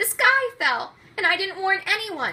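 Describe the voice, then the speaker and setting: A woman's put-on character voice, squeaky and extremely high in pitch. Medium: read story. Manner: nervous, stammering.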